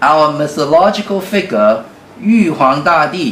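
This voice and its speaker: With a Chinese accent, a man of fairly high pitch speaks at a very slow pace amid noticeable background noise and audible room echo. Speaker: UFO club director. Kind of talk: interview. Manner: halting.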